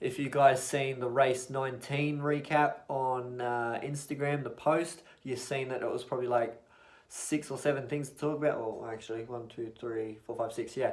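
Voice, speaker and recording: A man mumbles in an Australian accent at medium pitch and a moderate pace. His intonation is monotone and flat, and his loudness swings widely. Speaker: motorsport YouTuber. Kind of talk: casual vlog recap. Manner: mumbling.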